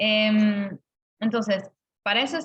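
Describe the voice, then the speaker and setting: A woman speaks at a medium pitch. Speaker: university lecturer. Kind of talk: online lecture. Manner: halting, many fillers.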